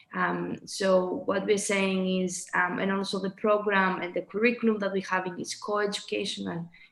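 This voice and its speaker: Monotone, flat delivery from a woman at a medium pitch and moderate pace, with hardly any pauses and noticeable background noise. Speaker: presenter at online talk. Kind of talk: presentation. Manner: halting, many fillers.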